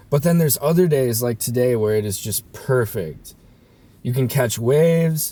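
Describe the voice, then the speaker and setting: Somewhat breathy and dark, mellow in tone, a man speaks at a moderate pace. His intonation is lively. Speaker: vlogger. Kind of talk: casual vlog monologue. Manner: casual, laid-back.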